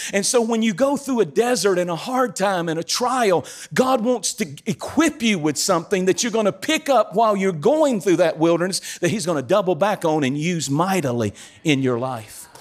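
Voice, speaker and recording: Animated and high-pitched, a man with a North Carolina accent talks at a moderate pace with very wide pitch swings. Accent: Southern US (North Carolina). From eastern North Carolina, US South. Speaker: guest preacher. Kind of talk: sermon. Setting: church stage with audience.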